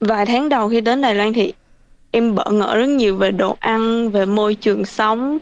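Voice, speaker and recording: In an unremarkable speaking voice, a woman talks at a moderate pace with fairly high pitch and fairly even intonation. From Vietnam (Bình Thuận). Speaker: vocational student. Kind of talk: interview.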